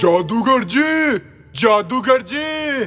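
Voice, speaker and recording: A man shouts loudly in a put-on character voice at an extremely high pitch. Clear music plays in the background. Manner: shouting, calling out loudly.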